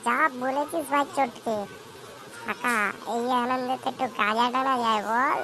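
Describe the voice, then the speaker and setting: A woman uses a cartoonish character voice at a high pitch. She speaks at a moderate pace over clear background noise. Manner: jokey, mocking, slangy.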